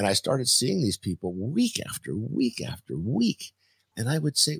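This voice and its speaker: Vocal fry runs through a man's voice. He speaks at a moderate pace. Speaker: crisis coach. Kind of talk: interview conversation. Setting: video call from home.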